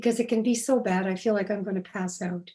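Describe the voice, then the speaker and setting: Here a woman talks at a moderate pace with fairly even intonation. Her tone is dark and mellow, and her pitch is fairly high. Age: old. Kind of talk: interview. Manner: paced, pausing for breath.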